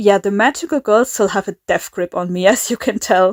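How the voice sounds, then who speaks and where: A woman speaks with a German accent in a fairly high pitch. The sound is dry and close, with no echo. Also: very clean recording, silent background. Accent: German accent, she calls it bad. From Germany. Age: 20s. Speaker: YouTuber, animator. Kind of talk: casual vlog talk. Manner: halting, many fillers and repeats.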